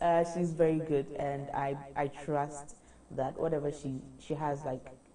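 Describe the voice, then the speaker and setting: A woman with a very deep, low pitch talks at a fairly slow pace amid noticeable background noise and audible room echo. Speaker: beauty pageant contestant. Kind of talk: interview.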